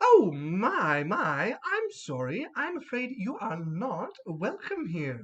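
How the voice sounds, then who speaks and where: This put-on character voice sits at a fairly high pitch and moves at a very slow pace. Hardly any pauses break it up. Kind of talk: polite, apologetic. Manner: cheery.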